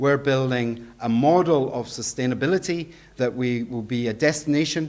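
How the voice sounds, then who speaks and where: The speaker is a man with a Scottish accent. His intonation stays fairly even. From Scotland. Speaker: education director, conference speaker. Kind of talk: conference presentation.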